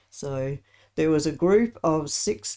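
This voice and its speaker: In an Australian accent, a woman talks with a very deep, low pitch and a dark, mellow tone. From Australia, Adelaide. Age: 70s. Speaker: interview guest. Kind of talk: casual interview.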